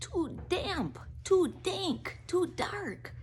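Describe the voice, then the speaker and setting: A put-on character voice, high-pitched and squeaky, comes through over light background noise. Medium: read story.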